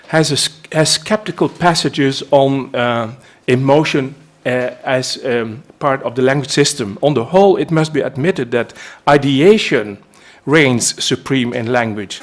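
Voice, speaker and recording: Speaking at a moderate pace with a Dutch accent, a man has a fairly high pitch and ordinary pitch variation. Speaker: linguist. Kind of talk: lecture. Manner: halting.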